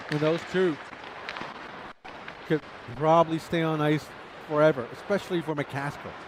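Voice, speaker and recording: A man talks at a moderate pace with a fairly high pitch and fairly even intonation, leaving long, frequent pauses. Crowd noise runs in the background. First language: Chinese. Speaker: ice hockey commentator. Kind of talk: live commentary. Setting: ice rink. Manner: casual, chatty.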